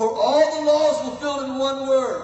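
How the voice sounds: A man's extremely high voice, slightly mellow in tone, with ordinary pitch variation, a moderate pace and audible room echo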